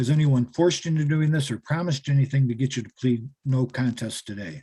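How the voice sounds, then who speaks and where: Very fast speech comes from a man with a medium pitch. His voice is somewhat breathy. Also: ordinary pitch variation. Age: 60s. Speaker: defense attorney. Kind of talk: court hearing. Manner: hesitant, many fillers.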